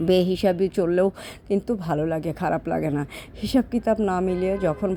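A woman speaks with fairly even intonation. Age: 40s. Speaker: vlogger and online saree seller. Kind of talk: casual vlog monologue. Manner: rambling, loosely organized.

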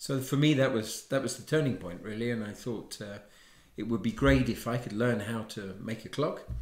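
Against a quiet background with audible room echo, a man speaks. He has an English accent and a moderate pace. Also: medium pitch for a man, ordinary pitch variation. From England. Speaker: watchmaker; interviewee. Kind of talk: interview. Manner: halting. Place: home room. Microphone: lapel.

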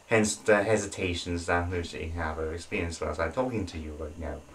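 Somewhat breathy, a man's voice comes through. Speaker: channel host. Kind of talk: casual vlog chat. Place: home room. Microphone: camera far.

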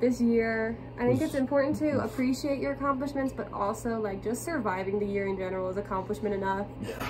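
A woman's very fast speech with lively intonation, music playing in the background. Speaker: vlogger. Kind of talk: casual vlog chat. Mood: cheerful, laughing. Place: home room. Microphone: phone near.

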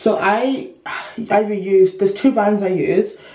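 At a fairly slow pace, a woman speaks with ordinary pitch variation amid audible room echo. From London, UK. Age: 20s. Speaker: lifestyle vlogger. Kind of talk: casual vlog talk to camera.

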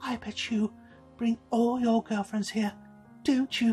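A man does a breathy, put-on character voice at an extremely high pitch, with monotone, flat intonation and a fairly slow pace. Faint music plays behind the dry, close sound, which has no echo. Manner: teasing, flirtatious.

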